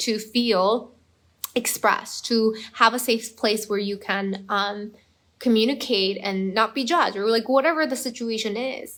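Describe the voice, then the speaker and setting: Speaking with a Korean accent, a woman keeps a fairly slow pace. Her pitch is fairly high, with ordinary variation. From Korea, moved to US at eleven. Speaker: performance coach. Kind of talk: live stream talk. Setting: Facebook live video. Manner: casual, many fillers.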